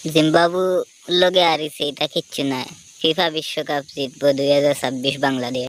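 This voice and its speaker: Her intonation stays fairly even. The woman's pitch is very deep and low. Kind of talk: comedic sports commentary. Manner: humorous, mocking.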